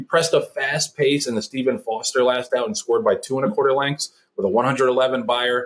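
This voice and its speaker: With an American accent, a man talks at a moderate pace with hardly any pauses. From New York City (Brooklyn). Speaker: podcast host, horse racing handicapper. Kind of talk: scripted handicapping segment; casual interview chat.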